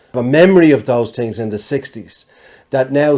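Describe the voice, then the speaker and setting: At a moderate pace, a man with a Dublin accent speaks in a dark, mellow tone at medium pitch. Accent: Dublin Irish. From Ireland, Dublin. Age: 60s. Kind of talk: casual chat.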